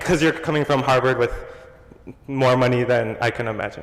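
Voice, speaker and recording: Noticeable background noise fills the clip. A man is speaking. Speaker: audience member asking a question. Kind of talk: Q&A question at a panel. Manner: halting.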